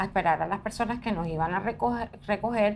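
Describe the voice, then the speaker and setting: Here is a woman at medium pitch with ordinary pitch variation. She has a plain, everyday voice. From Colombian Caribbean coast, Barranquilla. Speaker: journalist. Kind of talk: interview. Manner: conversational.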